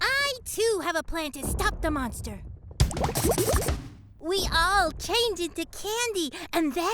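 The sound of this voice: An extremely high, cartoonish character voice speaks at a fairly slow pace. Clear background noise can be heard.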